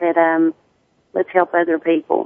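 A woman with a strong Southern US accent speaks in a fairly low pitch. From US South, Tennessee. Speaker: hairstylist and sickle cell advocate. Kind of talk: casual radio interview.

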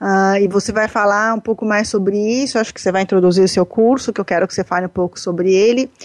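With a Brazilian accent, a woman speaks at a very fast pace and a medium pitch, with hardly any pauses, very even loudness and fairly even intonation. The sound is dry and close with no echo, over a quiet background. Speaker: radio host and coach. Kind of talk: interview.

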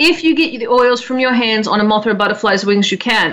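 Over noticeable background noise, a woman speaks with an Australian accent. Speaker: radio host. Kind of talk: casual chat.

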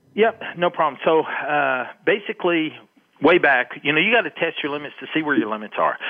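Lively intonation marks this man's speech. He talks at a fairly quick pace with a fairly high pitch. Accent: West Texas. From West Texas. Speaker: long range shooting instructor. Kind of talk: interview.

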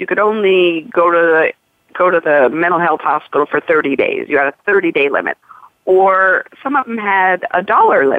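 A woman with an American accent talks in an unremarkable speaking voice at a medium pitch, with ordinary pitch variation and a moderate pace. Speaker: health insurance advocate. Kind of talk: radio interview.

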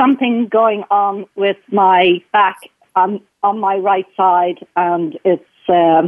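Speaking very slowly in an Irish accent, a woman uses a medium pitch with ordinary pitch variation. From Ireland. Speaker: caller. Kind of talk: casual chat. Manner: halting.

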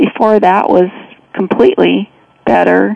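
There is noticeable background noise as a woman speaks at a fairly slow pace. Her pitch varies in an ordinary way. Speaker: former cosmetic surgery patient. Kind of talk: phone interview testimony.

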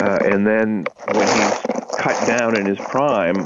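A man with a fairly low pitch talks at a fairly slow pace over noticeable background noise. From Maine, Augusta. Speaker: author. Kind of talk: interview.

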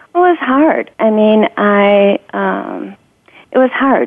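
Lively in intonation, a woman talks with an American accent. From US Midwest (Sandusky, Ohio). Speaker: retail executive. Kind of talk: interview.

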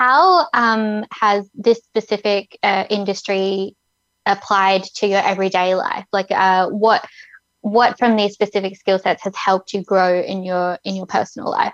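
A woman with a plain, everyday voice at medium pitch, fairly slow and fairly even in intonation, recorded dry and close with no echo against a quiet background. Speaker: co-host. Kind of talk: casual interview chat.

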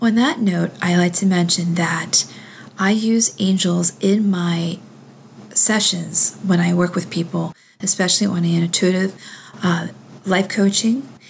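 A woman speaks at a moderate pace in a medium pitch, her voice somewhat breathy with a calm, soothing tone and fairly even intonation. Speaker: spiritual radio host. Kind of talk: talk show with guided meditation.

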